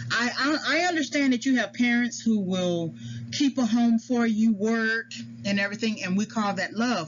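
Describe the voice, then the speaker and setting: Moderate pace, ordinary pitch variation and very even loudness, with noticeable background noise. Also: woman, fairly high pitch for a woman. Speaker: psychology educator. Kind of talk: lecture. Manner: halting.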